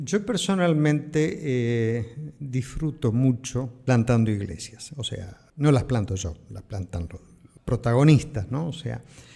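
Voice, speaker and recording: Very slowly, a man speaks in a somewhat breathy voice with a dark, mellow tone, lively intonation and big swings in loudness. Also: medium pitch for a man. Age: 60s. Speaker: pastor. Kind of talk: interview answer. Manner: plain, simple speech.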